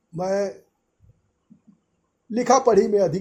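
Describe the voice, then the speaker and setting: This man's voice is high-pitched, with a dark, mellow tone. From India, Gorakhpur (eastern Uttar Pradesh). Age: 80s+. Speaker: retired trade unionist. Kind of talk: opinion monologue. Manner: halting, with false starts.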